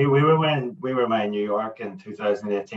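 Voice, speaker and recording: A man speaks with a Northern Irish accent and ordinary pitch variation against a quiet background. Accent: Northern Irish (Belfast). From Northern Ireland, Belfast. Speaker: landscape photographer; guest. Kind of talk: casual interview chat. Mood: relaxed, enthusiastic. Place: home room. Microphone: video call.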